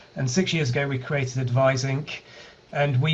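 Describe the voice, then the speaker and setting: This man speaks at a fairly quick pace with a British accent, his medium pitch held in a flat, monotone intonation. Audible room echo and noticeable background noise sit behind him. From UK. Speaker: healthcare data analytics company founder. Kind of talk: online meetup presentation.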